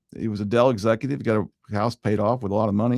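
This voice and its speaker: In a very clean recording with a silent background and a dry, close sound with no echo, a man speaks at a fairly quick pace in a medium pitch, a normal speaking voice. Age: 60s. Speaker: mortgage lender and show host. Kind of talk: radio-style talk show monologue. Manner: conversational with frequent fillers and repetitions.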